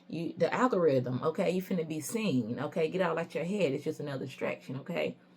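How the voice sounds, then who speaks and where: Fairly low-pitched woman at a very fast pace, lively intonation and noticeable background noise. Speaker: tarot reader. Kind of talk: tarot reading. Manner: casual, conversational; halting at times.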